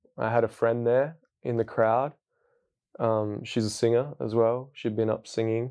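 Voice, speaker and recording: A man speaks in an Australian accent at a medium pitch. His tone is dark and mellow, and his intonation is flat and monotone. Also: moderate pace. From Western Australia. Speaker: hip hop artist and spoken word poet. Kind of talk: personal testimony. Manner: casual, with many fillers.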